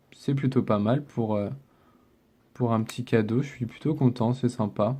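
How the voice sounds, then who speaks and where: A man's medium-pitched voice moves at a fairly slow pace, his intonation fairly even. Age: 20s. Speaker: gaming YouTuber. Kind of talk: casual gameplay commentary.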